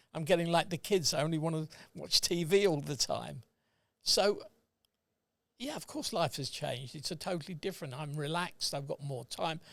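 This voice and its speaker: A man with a British accent, fairly high in pitch, at a moderate pace with ordinary pitch variation and long, frequent pauses, on a very clean recording with a silent background. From England. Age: 80s+. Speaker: retired accountant. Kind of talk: casual chat. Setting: podcast recording.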